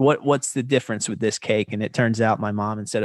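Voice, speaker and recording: A man with an American accent speaks at a medium pitch with ordinary pitch variation, and the sound is dry and close with no echo. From US South, North Carolina. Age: 30s. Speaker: filmmaker and podcast host. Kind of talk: casual interview.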